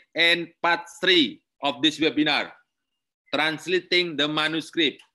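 Against a quiet background, a man speaks at a fairly high pitch with an Indonesian accent. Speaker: university lecturer. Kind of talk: lecture.

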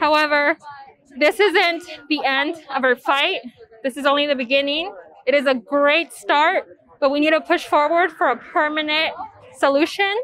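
The voice moves at a moderate pace with long, frequent pauses, ordinary pitch variation and very even loudness. The sound is dry with no echo, with light background noise. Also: woman, high pitch for a woman. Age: 20s. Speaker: immigrant rights activist. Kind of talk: advocacy testimony. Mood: earnest, determined. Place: street. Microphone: lapel.

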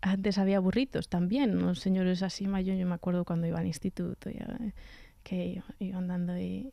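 A woman speaks at a moderate pace with a dark, mellow tone, somewhat breathy and fairly even in intonation. The sound is dry with no echo, over a quiet background. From central Spain, Sierra de Gredos (Ávila); Spain. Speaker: cellist and composer; guest. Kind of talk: radio interview. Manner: halting, with frequent repetitions. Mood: warm, amused. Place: studio. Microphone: studio mic.

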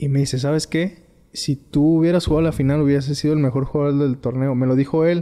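Talking at a very fast pace, a man has a dark, mellow tone and monotone, flat intonation. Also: very even loudness, quiet background. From Tepic, Nayarit, Mexico; Nayarit, Mexico. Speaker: former professional footballer; guest. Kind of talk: interview. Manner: halting. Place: home room. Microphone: studio mic.

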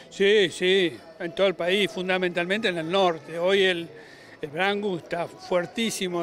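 Recorded dry with no echo over light background noise, a man speaks at a high pitch. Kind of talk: interview answer. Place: stadium. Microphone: handheld.

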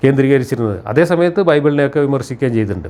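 This man has a plain, everyday voice, pitched fairly high. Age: 60s. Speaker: rationalist critic of religion. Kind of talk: monologue commentary.

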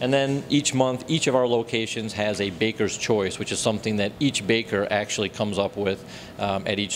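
In a plain, everyday voice, a man speaks at a fairly quick pace with a fairly low pitch and fairly even intonation over light background noise. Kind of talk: interview answer. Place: shop. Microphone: handheld.

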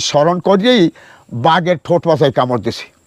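Lively intonation marks this man's voice, recorded dry and close with no echo. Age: old. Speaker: tiger attack survivor, former woodcutter. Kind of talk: personal testimony.

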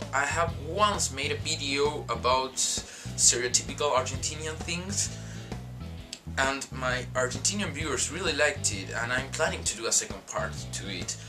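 At a moderate pace, a man talks over clear music in the background. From Argentina. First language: Spanish. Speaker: vlogger. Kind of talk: casual talk to camera. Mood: earnest, reflective. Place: home room. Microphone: webcam.

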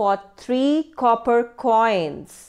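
A woman's high, warm voice with lively intonation, at a very slow pace. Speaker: English teacher. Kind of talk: educational story voice-over, narrating the tale to students. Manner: clear, measured teacherly pace, storytelling expressiveness; warm and encouraging, addressing students directly.

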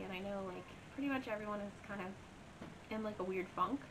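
A woman talks at a very fast pace. There is noticeable noise in the background. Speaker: beauty vlogger. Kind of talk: casual story time vlog chat. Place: home room.

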